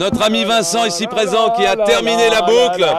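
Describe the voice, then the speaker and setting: A man talks with lively intonation. Noticeable background noise is present. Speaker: event organizer. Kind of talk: public address. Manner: loud.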